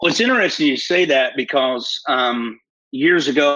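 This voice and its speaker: A man is talking. His accent is a Southern US accent. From US South, northeast Alabama. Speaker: prophet.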